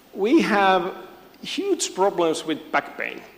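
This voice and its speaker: This man talks at a very slow pace, his high pitch swinging very widely. Noticeable background noise sits behind him. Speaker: physiotherapy lecturer. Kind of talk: conference talk.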